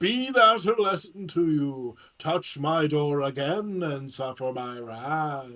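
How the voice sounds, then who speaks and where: A man performs a put-on character voice at a fairly high pitch. He goes at a fairly slow pace with hardly any pauses. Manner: threatening.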